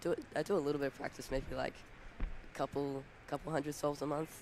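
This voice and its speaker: Talking at a very fast pace, a man with an Australian accent has a fairly high pitch. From Australia (Queensland). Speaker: competitive speedcuber. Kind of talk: interview.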